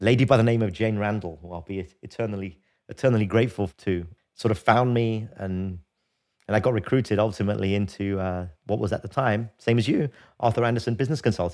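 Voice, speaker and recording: On a very clean recording with a silent background, a man with a London accent speaks at a very fast pace and a fairly low pitch, with ordinary pitch variation. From London, England. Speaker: podcast co-host, leadership consultant. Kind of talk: casual chat. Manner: halting.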